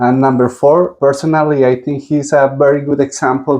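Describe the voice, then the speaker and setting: A fairly high-pitched man with a dark, mellow tone and monotone, flat intonation at a moderate pace. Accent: strong Spanish. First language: Spanish. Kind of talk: interview.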